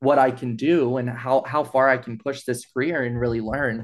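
A man's normal speaking voice at medium pitch with an American accent, fairly even intonation and a moderate pace, against a quiet background. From East Texas. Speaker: nonprofit events and fundraising manager. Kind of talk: interview conversation.

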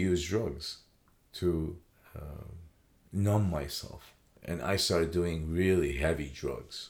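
There is audible room echo as a man with an American accent talks at a very slow pace. His very deep, low voice shows ordinary pitch variation. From Iraq, then Chicago from age 13. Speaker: former addict sharing recovery story. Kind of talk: testimony in interview. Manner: halting, with fillers and repetitions.

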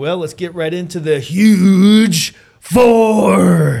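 In a put-on character voice, a man speaks very slowly at a high pitch. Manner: booming, hyped-up.

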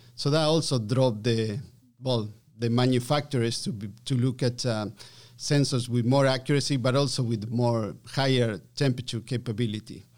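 A man with an Argentine accent speaks at a moderate pace and medium pitch, his intonation fairly even. The recording is very clean, with a silent background. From Argentina. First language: Spanish. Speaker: chief scientist and engineer. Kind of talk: interview.

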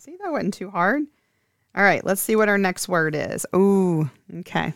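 On a very clean, dry, close recording with no echo and a silent background, a woman at medium pitch uses a normal speaking voice with ordinary pitch variation. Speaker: school president and podcast host. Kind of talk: casual interview.

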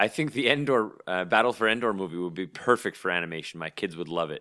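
In a very clean recording with a silent background, a man with a Canadian accent speaks at a fairly quick pace in a very deep, low voice with a bright, sharp tone and lively intonation. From Canada. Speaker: podcast co-host. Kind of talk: casual chat.

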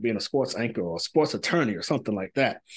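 The recording is dry and close, with no echo. A man talks at a medium pitch. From US South, Pine Bluff, Arkansas. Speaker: professor. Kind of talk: interview. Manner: halting, many fillers.

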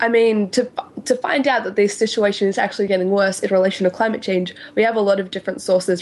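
A woman talks at a very fast pace with an Australian accent. Her pitch varies in an ordinary way, and there is noticeable background noise. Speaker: science podcast co-host. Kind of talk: explanatory casual chat.

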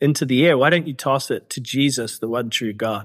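A man with a New Zealand accent. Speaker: author and activist. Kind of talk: interview conversation. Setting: remote call from Cambodia, evening.

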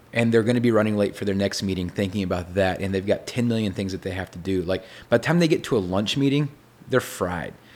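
In a Texan accent, a man speaks at a fairly low pitch on a very clean recording with a silent background. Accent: Texan American. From Texas. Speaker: songwriter and producer. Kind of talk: casual interview chat. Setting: in person, writer condo.

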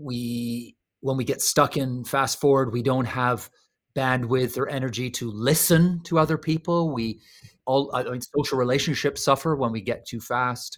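Here a man has an ordinary speaking voice at a medium pitch, with fairly even intonation and a moderate pace. The recording is very clean, with a silent background. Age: 50s. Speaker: author and speaker on slow living. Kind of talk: interview.

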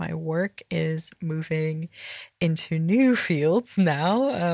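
With an American accent, a woman talks at a very deep, low pitch. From California. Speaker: poet. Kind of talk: audio diary.

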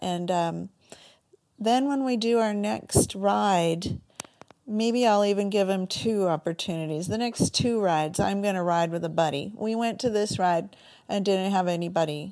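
Recorded very cleanly against a silent background, a woman with an American accent speaks at a moderate pace and medium pitch with a dark, mellow tone. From Northern California. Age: 50s. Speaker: endurance rider. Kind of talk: recorded personal story.

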